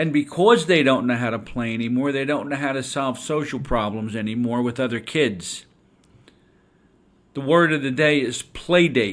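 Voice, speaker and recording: A man's unremarkable speaking voice at medium pitch, moderate pace and ordinary pitch variation. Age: 60s. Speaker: education consultant and podcast host. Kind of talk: podcast talk on teaching. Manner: conversational, with some stumbles.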